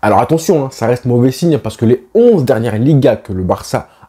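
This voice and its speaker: A man speaks at a fairly quick pace in a medium pitch, his dark, mellow tone somewhat breathy and his intonation lively, on a very clean recording with a silent background. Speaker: football YouTuber. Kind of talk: football opinion vlog.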